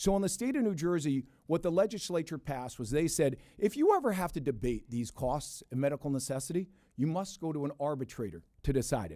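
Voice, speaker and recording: Over a silent background in a very clean recording, a man with a fairly high pitch and a dark, mellow tone speaks. He talks at a very fast pace with lively intonation. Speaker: insurance industry executive testifying. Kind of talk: legislative committee testimony.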